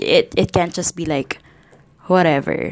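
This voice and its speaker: Spoken with a Filipino accent at a fairly slow pace, the voice keeps a fairly even intonation in a very clean recording with a silent background. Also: woman. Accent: Filipino English, Taglish code-switching. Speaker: podcaster. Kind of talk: casual solo monologue. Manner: rambling, chatty.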